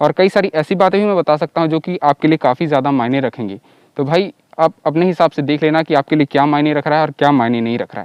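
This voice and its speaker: A man's ordinary speaking voice at a fairly high pitch with ordinary pitch variation, dry and close with no echo, over a quiet background. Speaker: motorcycle YouTuber. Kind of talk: casual vlog review. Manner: casual, conversational.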